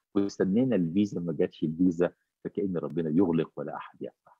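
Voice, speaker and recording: A man speaks at a fairly quick pace. Faint music sits in the background of the dry, echo-free sound. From Egypt. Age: 60s. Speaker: bishop. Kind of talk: interview. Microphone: video call.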